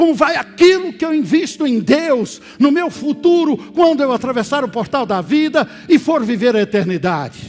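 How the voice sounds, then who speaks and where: A man speaks at an extremely high pitch with lively intonation. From Brazil, Minas Gerais (Oliveira). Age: 60s. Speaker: pastor. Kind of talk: sermon. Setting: church service, also streamed.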